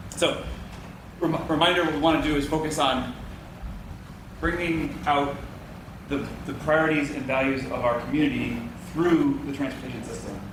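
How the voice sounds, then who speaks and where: A man with an American accent speaks at a moderate pace in a fairly high pitch, with fairly even intonation and long, frequent pauses. Room echo is audible, and background noise is noticeable. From Boston. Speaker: transportation consultant. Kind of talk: public presentation. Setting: public meeting with audience. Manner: repetitive stammering.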